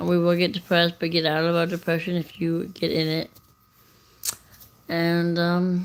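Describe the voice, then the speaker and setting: Long pauses come often. Between them, the pace is moderate. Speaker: livestreamer and rideshare driver. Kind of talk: casual livestream chat. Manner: rambling, hesitant with many fillers.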